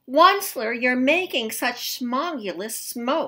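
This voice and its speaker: A put-on, croaky character voice, female-sounding and high in pitch, carries the act. The delivery is very slow. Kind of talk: storybook read-aloud. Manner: crying out, scolding.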